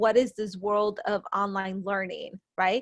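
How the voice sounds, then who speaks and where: The background is quiet. A woman with a normal speaking voice talks at a moderate pace with ordinary pitch variation. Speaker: school administrator. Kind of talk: presentation to parents.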